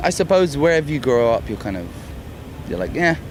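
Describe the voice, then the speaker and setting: A man's lively intonation comes through noticeable background noise and audible room echo. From London, England. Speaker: rock band singer. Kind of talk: casual interview. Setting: music festival backstage.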